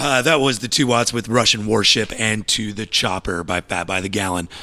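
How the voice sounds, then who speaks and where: A man talks at a fairly quick pace with a fairly low pitch. His tone is bright and sharp. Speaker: podcast host. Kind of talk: casual interview chat.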